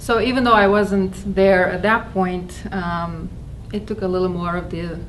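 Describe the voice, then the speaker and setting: The woman speaks at a medium pitch and a moderate pace, her intonation fairly even. Audible room echo and noticeable background noise fill the recording. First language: not English. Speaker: spiritual talk speaker. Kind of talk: personal testimony talk. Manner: halting, with fillers.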